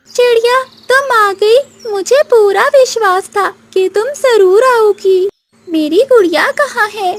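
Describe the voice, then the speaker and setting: A female-sounding cartoonish character voice at an extremely high pitch drags along at a very slow pace. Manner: soft, warm.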